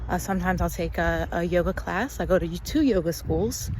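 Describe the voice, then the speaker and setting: A woman speaks in an American accent. Noticeable background noise can be heard. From USA. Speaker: English teacher. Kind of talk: casual talk to camera. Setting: outdoors.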